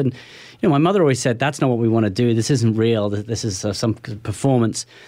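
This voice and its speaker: A man with a British accent talks at a very fast pace. His pitch varies in an ordinary way. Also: very clean recording, silent background. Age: 40s. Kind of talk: interview. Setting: studio.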